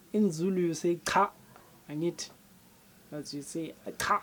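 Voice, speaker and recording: In a South African accent, a woman speaks at a fairly low pitch with a dark, mellow tone and ordinary pitch variation. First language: Sepedi. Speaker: language teacher. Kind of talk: tutorial. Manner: repetitive, slow for learners.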